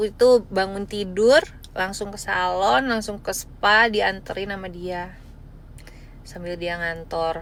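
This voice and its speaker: Speaking very slowly in a West Javanese accent, a woman keeps a medium pitch with ordinary pitch variation and big swings in loudness. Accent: faint Sundanese in Indonesian. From West Java (Bandung). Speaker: live-stream seller. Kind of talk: live stream chat. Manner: casual, chatty.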